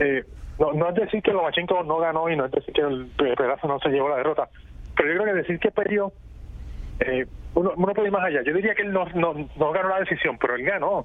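A high-pitched man's voice at a very fast pace, with ordinary pitch variation and noticeable background noise. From Puerto Rico. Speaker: boxing journalist. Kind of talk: radio interview. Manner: halting, repeats words.

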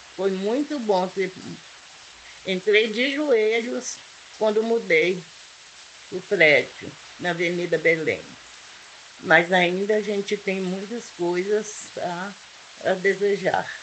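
A woman at medium pitch, very slow, with long, frequent pauses and noticeable background noise. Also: ordinary pitch variation. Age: 70s. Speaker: local resident. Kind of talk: testimony.

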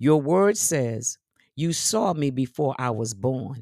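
Her tone is dark and mellow, her pitch very deep and low, her intonation lively. The recording of this woman is very clean, with a silent background. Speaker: church elder and podcast host. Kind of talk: devotional scripture reading and fervent prayer. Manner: fervent, impassioned, declarative, pleading.

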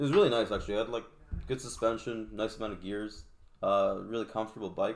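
Very fast, fairly even speech from a man at a medium pitch. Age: 20s. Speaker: podcast guest, motorcyclist. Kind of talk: casual chat.

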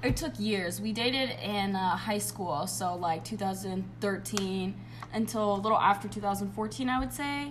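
Speech at a fairly slow pace comes through over noticeable background noise. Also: woman. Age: 20s. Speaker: podcast guest. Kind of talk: casual chat.

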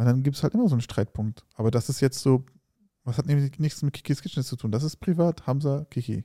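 Speaking very fast, a man uses a medium pitch with ordinary pitch variation and a dark, mellow, somewhat breathy tone. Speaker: food YouTuber and podcast co-host. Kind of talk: casual chat.

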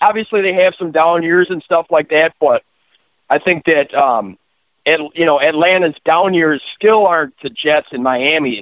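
A man with a plain, everyday voice, fairly high pitched, at a moderate pace with ordinary pitch variation. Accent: American. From Wisconsin. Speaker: caller, high school worker. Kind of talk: casual sports talk.

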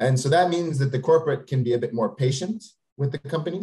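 A man talks very fast with lively intonation. His tone is dark and mellow, and somewhat breathy. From Quebec, Canada. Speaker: venture capitalist. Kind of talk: interview.

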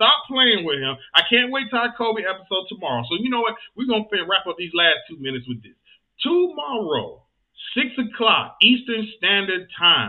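Speaking at a moderate pace in a Southern US accent, this animated voice makes very wide pitch swings and big swings in loudness. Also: man, high pitch for a man. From US South, Georgia. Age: 30s. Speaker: podcast host. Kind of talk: casual chat.

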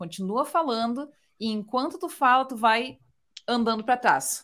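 Pitch swings very widely as the speech moves along at a moderate pace. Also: woman. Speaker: guest. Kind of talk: casual chat. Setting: video call.

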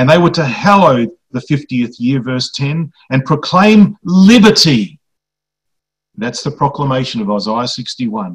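Somewhat breathy, a man talks at a fairly slow pace and a fairly high pitch with very wide pitch swings. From Greek background. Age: 50s. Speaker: preacher. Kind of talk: sermon.

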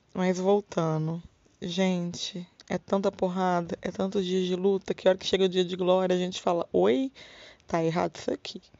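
A woman's medium-pitched voice, an unremarkable speaking voice, at a moderate pace with fairly even intonation. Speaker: podcast host. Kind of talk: casual monologue. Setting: home bedroom.

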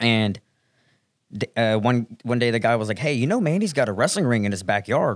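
Heard in a very clean recording with a silent background, a man speaks with an American accent in an ordinary speaking voice. He goes at a fairly quick pace, with medium pitch and ordinary pitch variation. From US South, Fayetteville, Arkansas. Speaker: professional wrestling fan and industry worker. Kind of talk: casual chat.

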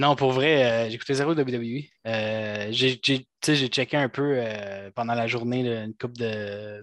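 In a Quebec accent, a man with a medium-pitched voice talks at a very slow pace and fairly even intonation, the sound dry and close with no echo over a quiet background. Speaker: wrestling fan panelist. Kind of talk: casual chat. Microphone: new computer, mic trouble.

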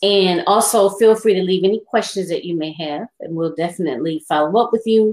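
A woman with an ordinary speaking voice and medium pitch speaks at a fairly quick pace with ordinary pitch variation and hardly any pauses. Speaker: talk show host. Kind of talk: casual interview. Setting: live stream on laptop.

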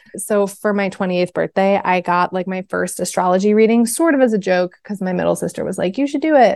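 In an American accent, a woman talks at a fairly quick pace with hardly any pauses, using a medium pitch with ordinary variation in a dry, close sound with no echo. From US Midwest, Chicago suburbs. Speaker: witch and healer. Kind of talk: casual interview chat. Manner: animated.

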